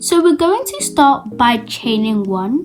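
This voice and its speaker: Against noticeable background noise, a woman speaks at a fairly slow pace with very wide pitch swings. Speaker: crochet teacher. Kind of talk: tutorial.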